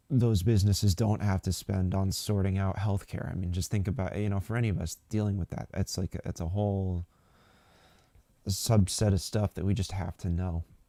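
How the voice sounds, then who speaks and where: A soft-spoken man talks at a moderate pace in a fairly low pitch with a dark, mellow tone, on a very clean recording with a silent background. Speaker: political commentary livestream host. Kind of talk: live stream commentary. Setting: live stream from a local space. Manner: hesitant, many fillers.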